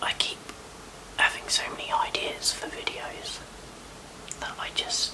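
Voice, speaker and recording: Against noticeable background noise, a voice whispers. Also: woman. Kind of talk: ASMR get-ready-with-me chat to camera. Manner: whispered; casual, chatty.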